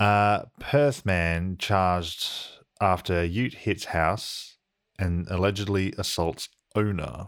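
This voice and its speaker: A very slow man's voice, very deep and low, with ordinary pitch variation, on a very clean recording with a silent background. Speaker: podcast host. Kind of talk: casual comedic banter.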